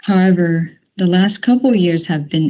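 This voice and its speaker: A woman with a Chinese accent speaks at a moderate pace in a dark, mellow tone, with ordinary pitch variation. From mainland China. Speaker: company diversity group leader. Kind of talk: prepared speech at a work meeting.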